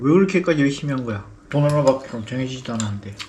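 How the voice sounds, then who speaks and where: A man talks very fast in a fairly high voice with ordinary pitch variation. Noticeable background noise and audible room echo are present. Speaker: vlogger, interviewer. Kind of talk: casual interview.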